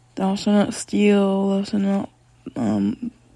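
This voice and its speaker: A soft-spoken woman talks at a medium pitch. Her intonation stays fairly even. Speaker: podcaster. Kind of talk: casual monologue. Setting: at home, walking around the room. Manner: soft-spoken, talking quietly; halting, many fillers.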